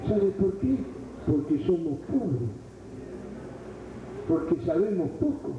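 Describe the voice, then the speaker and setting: Amid noticeable background noise and audible room echo, a man speaks very slowly. His high-pitched voice carries lively intonation. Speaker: preacher. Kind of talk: sermon. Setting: church retreat.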